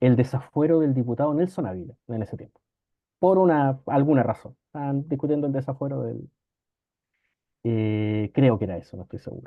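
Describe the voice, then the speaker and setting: Speaking at a fairly quick pace in a Chilean accent, a man of medium pitch shows big swings in loudness. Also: ordinary pitch variation. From northern Chile (Antofagasta). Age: 40s. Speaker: law professor and lawyer. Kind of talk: casual interview storytelling.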